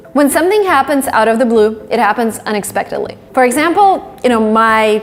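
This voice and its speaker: A woman speaks in a high voice with a Russian accent, her intonation lively and her loudness very even, moving at a fairly quick pace with hardly any pauses over noticeable background noise. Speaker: English teacher on video channel. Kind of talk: tutorial.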